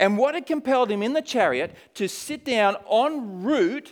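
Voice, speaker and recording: A man with an Australian accent, at a moderate pace with lively intonation. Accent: Australian, noticeable. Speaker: missionary. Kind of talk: sermon. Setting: church.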